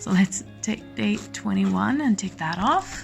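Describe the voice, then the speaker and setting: Music plays behind a woman who talks very slowly. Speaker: crafter. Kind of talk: casual talk to camera. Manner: low-voiced, quiet.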